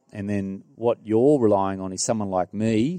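A man speaks in an Australian accent with a dark, mellow tone and fairly low pitch. His pace is moderate and his intonation fairly even, with a dry, close sound and no echo. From rural New South Wales, Australia. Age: 40s. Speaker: property developer. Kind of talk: casual interview. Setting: property display suite.

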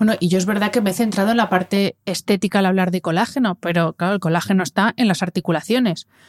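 On a very clean recording with a silent background, a woman speaks very fast at medium pitch with hardly any pauses, fairly even intonation and very even loudness, the sound dry and close with no echo. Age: 40s. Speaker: podcast host, wellness communicator. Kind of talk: interview.

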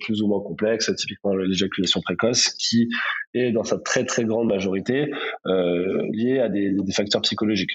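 In a plain, everyday voice, a man with a fairly low pitch talks at a fairly quick pace with fairly even intonation. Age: 30s. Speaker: startup co-founder. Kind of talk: interview.

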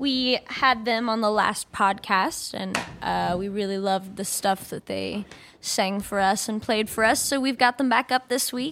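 Heard on a very clean recording with a silent background, a woman uses a normal speaking voice at a fairly high pitch, talking at a fairly slow pace with ordinary pitch variation.

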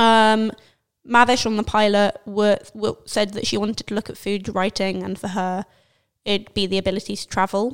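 A woman's playful tone at a medium pitch and moderate pace, monotone and flat in intonation, on a very clean recording with a silent background. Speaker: podcast host. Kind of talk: casual chat. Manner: playful, joking.

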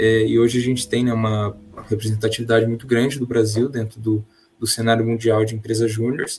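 A man talks at a fairly quick pace in a monotone, flat intonation. Music plays in the background. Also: medium pitch for a man. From São Paulo state interior (Marília), Brazil. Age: 20s. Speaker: engineering student, junior enterprise president. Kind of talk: casual podcast interview.

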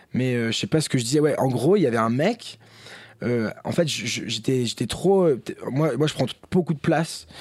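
Speaking at a moderate pace in an unremarkable speaking voice, a man holds a medium pitch with ordinary pitch variation. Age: 20s. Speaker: rapper. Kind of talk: casual chat.

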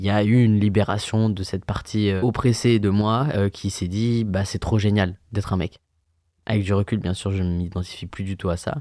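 In a very clean recording with a silent background, a man speaks at a moderate pace. His fairly low voice has a dark, mellow tone and fairly even intonation. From France, Yvelines (Paris region). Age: 20s. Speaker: events and bar worker. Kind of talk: personal testimony. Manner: halting, with fillers.

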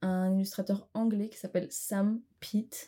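At a very slow pace, a woman speaks in a somewhat breathy, fairly high voice with a dark, mellow tone and monotone, flat intonation, in a very clean recording with a silent background. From Armenia. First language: Armenian (speaking French). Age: 20s. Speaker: art student. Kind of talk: interview.

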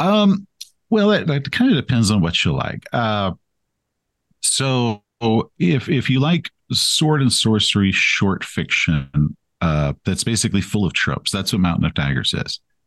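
Recorded with a dry, close sound and no echo, a man with an American accent speaks fairly slowly at a very even loudness. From East Texas. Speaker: author and game master. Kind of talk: casual interview.

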